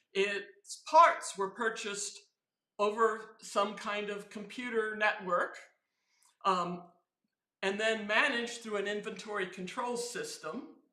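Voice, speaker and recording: A woman's fairly high-pitched voice at a very slow pace, with audible room echo. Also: ordinary pitch variation. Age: 70s. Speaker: software quality engineer and teacher. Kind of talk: casual interview chat. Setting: live stream at an event. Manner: animated.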